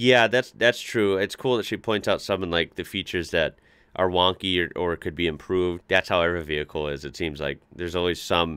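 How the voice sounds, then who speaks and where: A bright, sharp voice moves at a moderate pace with ordinary pitch variation, recorded as a dry sound with no echo against a quiet background. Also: man. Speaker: reaction video host. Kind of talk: casual reaction commentary. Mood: enthusiastic, impressed. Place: home room.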